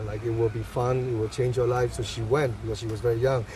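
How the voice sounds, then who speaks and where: Fairly even intonation in a Burmese accent, with noticeable background noise. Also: man. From Myanmar. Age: 30s. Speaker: photographer. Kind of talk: interview. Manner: halting.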